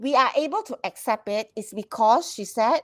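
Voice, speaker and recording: With a Malaysian accent, a woman speaks at a moderate pace and fairly high pitch with lively intonation in a dry, close sound with no echo. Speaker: HR professional. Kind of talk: casual chat. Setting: live stream. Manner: loud.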